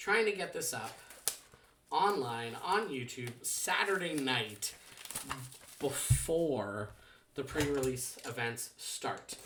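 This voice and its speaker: A quiet man at medium pitch, very slow, with very wide pitch swings, long and frequent pauses, noticeable background noise and audible room echo. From Canada. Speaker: trading card unboxing youtuber. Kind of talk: casual unboxing vlog. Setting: at home. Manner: quiet, holding back volume; rambling with many fillers and restarts.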